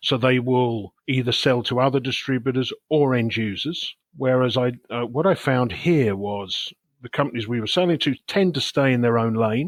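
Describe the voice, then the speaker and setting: Speaking with an English accent, a man keeps a moderate pace with hardly any pauses, his medium pitch showing ordinary variation. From England. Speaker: sales executive. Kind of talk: podcast interview.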